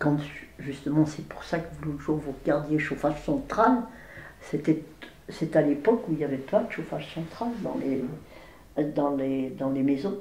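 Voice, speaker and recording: Very deep, low pitch from a woman, fairly slow delivery and audible room echo. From France, Villard-de-Lans (Vercors). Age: 80s+. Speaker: elderly local resident sharing memories. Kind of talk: oral history interview. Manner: hesitant, with repetitions.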